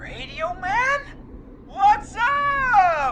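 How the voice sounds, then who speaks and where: A put-on character voice at an extremely high pitch drawls through very wide pitch swings. Light background noise sits behind it. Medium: video game. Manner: drawling, laid-back, repetitive slang.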